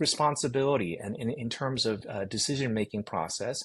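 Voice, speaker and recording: A man with an American accent speaks at a moderate pace, the background quiet. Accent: American English, near-native. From Korea, immigrated to US at about 10. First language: Korean. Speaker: seminary president. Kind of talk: interview conversation. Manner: loud.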